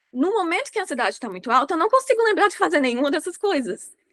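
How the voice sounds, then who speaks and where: Raising and projecting her voice, a woman speaks with a bright, sharp tone and very wide pitch swings, the sound dry and close with no echo. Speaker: podcast host. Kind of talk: casual chat. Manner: fast.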